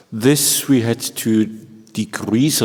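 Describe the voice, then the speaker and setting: Speaking with a German accent, a man has a medium pitch and ordinary pitch variation, with noticeable background noise behind him. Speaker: organ professor. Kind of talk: panel discussion.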